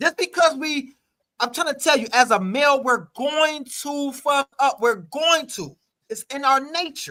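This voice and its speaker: A man's extremely high-pitched, raised and projected voice has a bright, sharp tone and ordinary pitch variation, recorded with a dry, close sound with no echo. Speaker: talk show host. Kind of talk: casual panel debate. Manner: fast; loud.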